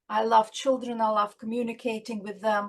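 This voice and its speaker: A woman's fairly high voice with a non-native accent, monotone and flat, at a moderate pace. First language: not English. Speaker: children's author and doctor. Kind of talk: interview. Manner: halting.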